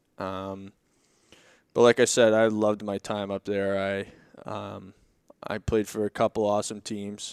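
A man with a Boston accent speaks at a fairly low pitch in a flat monotone, his voice dry and close with no echo on a very clean recording over a silent background. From Boston, Massachusetts. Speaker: professional hockey player. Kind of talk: casual interview.

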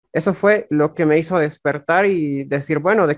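In a normal speaking voice, a man with a fairly high pitch speaks at a fairly slow pace with fairly even intonation, the sound dry and close with no echo. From Bolivia, La Paz. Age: 20s. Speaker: affiliate marketer and YouTuber. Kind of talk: interview conversation.

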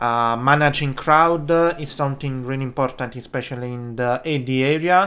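Fairly even intonation and a bright, sharp tone shape this man's speech, delivered at a moderate pace. He has an Italian accent. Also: medium pitch for a man, hardly any pauses. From Italy. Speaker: podcast host, film production worker. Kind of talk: solo podcast monologue. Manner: halting, many fillers.

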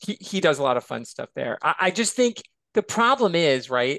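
A man speaks at a moderate pace with lively intonation, recorded with a dry, close sound with no echo over a quiet background. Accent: American. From Michigan, near Chicago. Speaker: college professor and author. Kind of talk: casual interview chat.

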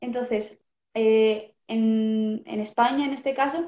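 A woman has a normal speaking voice with a fairly high pitch. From Basque Country, Vitoria, Álava. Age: 20s. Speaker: teacher, vegetarian interviewee. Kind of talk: casual interview.

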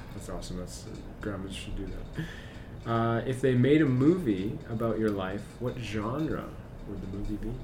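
Speaking at a moderate pace and medium pitch, a man uses ordinary pitch variation and big swings in loudness, with long, frequent pauses and audible room echo. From Saskatchewan, Moose Jaw. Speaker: school podcast host, teacher. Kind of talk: casual interview chat.

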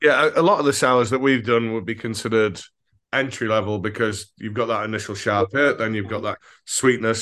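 Against a quiet background, a man at a medium pitch speaks at a fairly quick pace with fairly even intonation. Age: 40s. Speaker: brewery owner. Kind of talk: casual interview.

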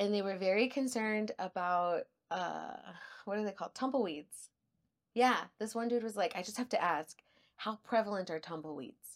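A woman with an El Paso accent at a moderate pace, medium pitch and ordinary pitch variation, in a very clean recording with a silent background. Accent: El Paso Texan. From El Paso, Texas. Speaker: podcast co-host. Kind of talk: casual chat.

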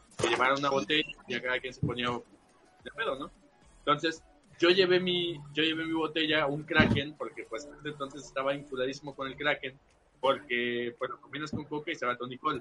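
A man at a moderate pace, fairly high in pitch with ordinary pitch variation, with music in the background. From Veracruz port, Mexico. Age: young. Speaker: podcast guest. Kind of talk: casual chat.

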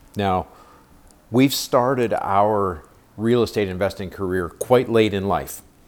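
Here is an ordinary speaking voice from a man, fairly low in pitch with ordinary pitch variation. He talks at a fairly slow pace. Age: 50s. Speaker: podcast host, beginner real estate investor. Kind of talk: solo podcast introduction.

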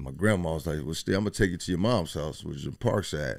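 In a very clean recording over a silent background, a man with an American accent speaks at a fairly quick pace, his very deep, low pitch carrying vocal fry and lively intonation. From Dayton, Ohio (Westwood). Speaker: chef and rapper. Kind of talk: casual interview. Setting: studio.

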